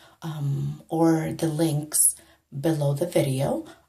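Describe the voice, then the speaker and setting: A woman is speaking. She is soft-spoken. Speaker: makeup tutorial vlogger. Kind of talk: tutorial. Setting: home bathroom. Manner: soft-spoken, lowered voice.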